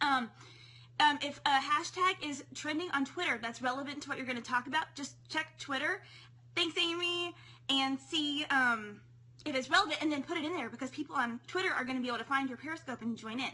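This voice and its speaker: A woman speaks in a raised, projected voice at a high pitch. Her pace is fairly quick, with ordinary pitch variation. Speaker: periscope broadcaster teaching tips. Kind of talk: live stream tips talk. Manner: fast.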